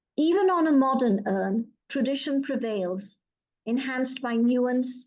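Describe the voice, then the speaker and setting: A woman's high pitch at a fairly slow pace. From Pakistan. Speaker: poet. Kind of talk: poetry reading.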